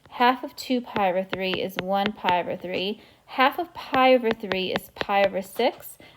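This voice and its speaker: A woman talks at a moderate pace with hardly any pauses. Her pitch is medium with ordinary variation, over noticeable background noise. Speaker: math teacher. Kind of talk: tutorial.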